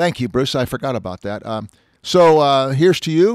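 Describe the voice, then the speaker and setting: Here is a man with an unremarkable speaking voice, fairly high in pitch, at a moderate pace. His intonation is lively, and the sound is dry and close with no echo. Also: very clean recording, silent background. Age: 60s. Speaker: automotive columnist and podcast host. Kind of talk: casual chat.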